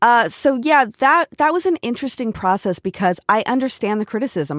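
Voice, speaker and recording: In a West Coast US accent, the speaker talks at a moderate pace with lively intonation, recorded very cleanly against a silent background with a dry, close sound and no echo. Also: woman. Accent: General American, West Coast. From US West Coast, Portland, Oregon and San Diego. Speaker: TV showrunner and former actor. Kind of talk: casual interview.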